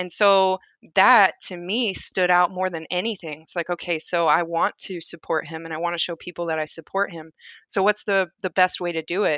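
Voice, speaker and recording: A woman with an American accent, bright, sharp tone and fairly even intonation, in a dry, close sound with no echo and a quiet background. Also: fairly low pitch for a woman, moderate pace. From US South, rural Tennessee. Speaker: podcast guest, tech worker and mother. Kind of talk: casual chat.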